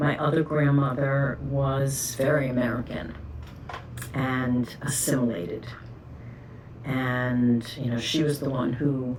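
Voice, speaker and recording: A woman with a New York accent and a very deep, low pitch, amid noticeable background noise and audible room echo. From New York City, the Bronx. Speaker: oral history interviewee. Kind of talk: oral history interview.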